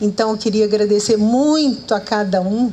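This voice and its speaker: A woman's medium-pitched voice with ordinary pitch variation over noticeable background noise. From Minas Gerais, Brazil (Araxá region). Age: 70s. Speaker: author and journalist. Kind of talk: live public conversation. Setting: outdoor event with audience, under trees.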